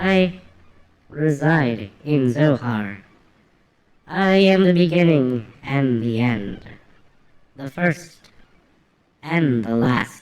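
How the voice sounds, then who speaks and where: A put-on character voice at a low-to-middle pitch, very slow, with long, frequent pauses. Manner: solemn, grandiose, theatrical.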